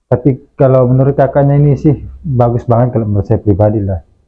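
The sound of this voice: A man talks at a fast pace with ordinary pitch variation. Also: medium pitch for a man.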